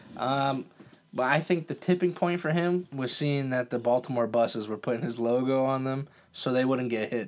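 A man in a normal speaking voice, medium in pitch with ordinary pitch variation, at a moderate pace. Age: 20s. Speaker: podcast co-host. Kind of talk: casual sports banter. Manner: casual, joking.

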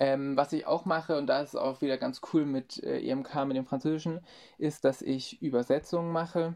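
Using fairly even intonation, a man with a fairly high pitch speaks at a moderate pace. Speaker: marketing intern. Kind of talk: interview. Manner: hesitant, many fillers.

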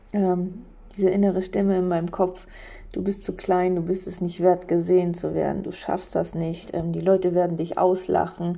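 A woman's dark, mellow voice at medium pitch, monotone and flat in intonation, at a moderate pace. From eastern Germany, Polish border. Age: 30s. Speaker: podcaster. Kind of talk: personal monologue. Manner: hesitant.

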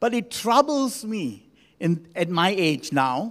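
With a warm tone and high pitch, a man speaks using very wide pitch swings. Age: 60s. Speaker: senior pastor. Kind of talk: Sunday morning church sermon, laying out numbered points with scripture and anecdotes. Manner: warm, conversational preaching with frequent ums and self-corrections; emphatic repetition of key phrases for the congregation.

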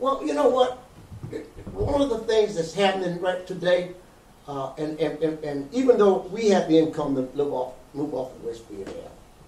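A man's high voice in an American accent, with very wide pitch swings, audible room echo and noticeable background noise. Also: moderate pace, big swings in loudness. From US South, Georgia. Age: old. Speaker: community activist and publisher. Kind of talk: interview.

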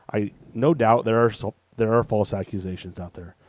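In a normal speaking voice, someone talks at a fairly quick pace with fairly even intonation over a quiet background. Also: man. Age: 30s. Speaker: podcast co-host. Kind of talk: casual chat.

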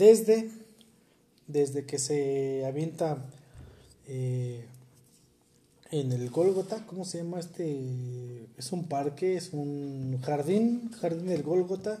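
A man's very slow, somewhat breathy speech, fairly high in pitch with a dark, mellow tone, lively intonation, big swings in loudness and long, frequent pauses. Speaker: podcast host. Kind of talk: casual chat.

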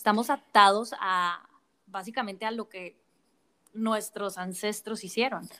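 A woman with an unremarkable speaking voice talks at a fairly slow pace in a fairly high pitch with fairly even intonation, on a very clean recording with a silent background. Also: big swings in loudness. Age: 30s. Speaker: podcast host. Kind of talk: interview conversation.

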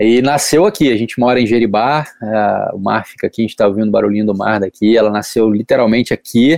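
Against a quiet background, a man speaks very fast with hardly any pauses in a medium-pitched voice with fairly even intonation and a dry, close sound with no echo. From Brazil, Rio de Janeiro. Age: 30s. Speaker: professional surfer. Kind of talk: interview.

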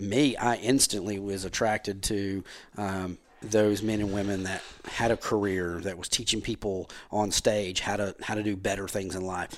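A man talks at a moderate pace with an American accent. His intonation stays monotone and flat. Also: fairly low pitch for a man. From US South, Powder Springs, Georgia. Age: 40s. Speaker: insurance agency owner. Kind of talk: casual chat.

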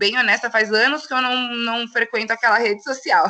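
A woman speaks with an unremarkable speaking voice. Her pitch is fairly high and her pace fairly quick. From São Paulo, Brazil. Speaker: poet and political activist. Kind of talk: casual interview chat.

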